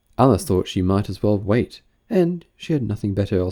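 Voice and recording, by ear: The reading is done in a natural voice, with a quiet background behind it.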